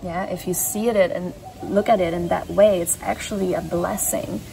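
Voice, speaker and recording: Noticeable background noise under a woman's medium-pitched voice, fairly even in intonation and fairly slow in pace. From Belgium. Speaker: spiritual channeler. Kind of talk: channeled reading.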